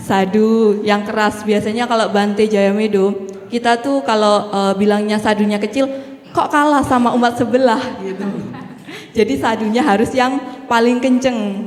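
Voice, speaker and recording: A woman's fairly high voice holds fairly even intonation, with noticeable background noise and audible room echo around her. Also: moderate pace. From East Java, Banyuwangi. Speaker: Buddhist nun and Dhamma speaker. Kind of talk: Dhamma talk. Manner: casual, friendly with hesitations.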